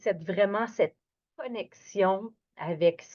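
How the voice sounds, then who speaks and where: Very slow speech from a woman, her pitch varying in an ordinary way. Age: 60s. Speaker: yoga instructor. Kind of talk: guided yoga class. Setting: at home, evening. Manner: animated; lowering her voice, gentle.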